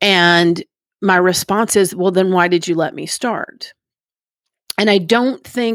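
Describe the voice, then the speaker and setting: In an unremarkable speaking voice, a woman with an American accent talks at a fairly slow pace and medium pitch with ordinary pitch variation, the sound dry and close with no echo. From Texas, Dallas area (Plano). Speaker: recovering alcoholic sharing her story. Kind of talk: testimony.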